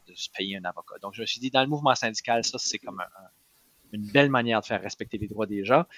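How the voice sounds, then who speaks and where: A man's bright, sharp voice with ordinary pitch variation, in a dry, close sound with no echo. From New Brunswick, Acadian (Moncton). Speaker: political candidate, union organizer. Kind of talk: podcast interview. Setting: his office. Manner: hesitant with fillers.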